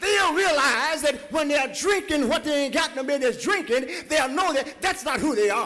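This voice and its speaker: With noticeable noise behind him, a man projects in an extremely high voice, hardly pausing at all. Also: ordinary pitch variation, moderate pace, very even loudness. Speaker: preacher, church pastor. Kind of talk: sermon delivered to a congregation. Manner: impassioned, emphatic, preaching cadence.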